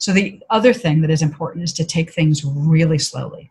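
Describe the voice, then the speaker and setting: A woman speaks at a fairly quick pace. Her voice is fairly low and somewhat breathy. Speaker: author and consultant. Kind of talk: interview.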